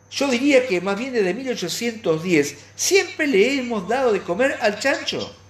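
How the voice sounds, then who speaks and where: Very slow speech with hardly any pauses over noticeable background noise. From Argentina. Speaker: radio commentator. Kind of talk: opinion editorial monologue. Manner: halting.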